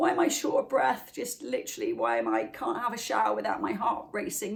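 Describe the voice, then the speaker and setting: A woman talks at a fairly quick pace in a Welsh accent. Her pitch is fairly high. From Wales. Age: middle-aged. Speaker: wellness channel host. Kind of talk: motivational talk to camera. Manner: fast.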